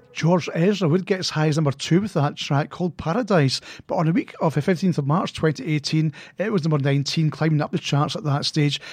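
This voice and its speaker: In a normal speaking voice, a man talks at a fairly quick pace with fairly high pitch and ordinary pitch variation over a quiet background. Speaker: radio host. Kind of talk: radio DJ patter: chart-countdown links between songs, with date trivia. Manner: plain matter-of-fact reading of chart positions and news facts.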